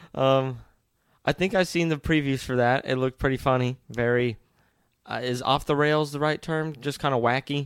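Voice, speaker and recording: In a dry, close sound with no echo and a very clean recording with a silent background, a man with an unremarkable speaking voice talks at a moderate pace and medium pitch. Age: young. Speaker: podcast co-host, son. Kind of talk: casual chat.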